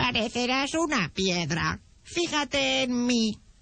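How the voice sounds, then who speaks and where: A female-sounding voice pitched high, speaking at a fairly slow pace. It is a put-on character voice. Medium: read story.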